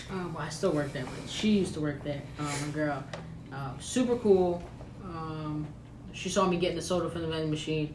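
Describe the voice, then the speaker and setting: With noticeable background noise and audible room echo, a woman speaks at a moderate pace in a very deep, low voice with ordinary pitch variation. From Mexican family background. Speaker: podcast co-host. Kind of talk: casual chat.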